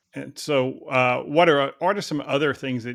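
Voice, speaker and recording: The recording is very clean, with a silent background. A man with a Texan accent speaks at a moderate pace. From Texas. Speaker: podcast host, HR company president. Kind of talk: interview. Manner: casual.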